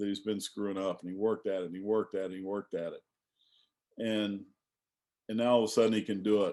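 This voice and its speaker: Very fast speech in a dark, mellow tone and an American accent, with monotone, flat intonation and big swings in loudness. Long pauses come often against a quiet background. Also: man, fairly low pitch for a man. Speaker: sports coach. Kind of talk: casual chat.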